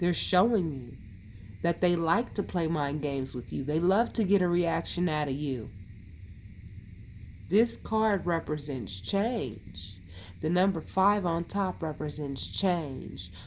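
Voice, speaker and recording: A woman with a fairly low pitch and vocal fry speaks at a very slow pace with lively intonation. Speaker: tarot reader. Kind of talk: tarot reading. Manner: conversational.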